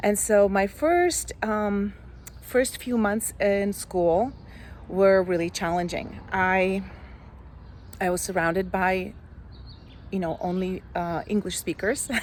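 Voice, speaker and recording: A woman with a Slovak accent speaks at a very slow pace with long, frequent pauses, medium pitch and ordinary pitch variation. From Slovakia. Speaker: life coach. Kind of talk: personal story vlog. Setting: outdoors.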